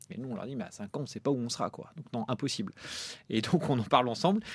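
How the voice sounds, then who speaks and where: A man speaks in a normal speaking voice at medium pitch against a quiet background. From France, Normandy. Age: 30s. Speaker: film producer. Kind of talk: interview.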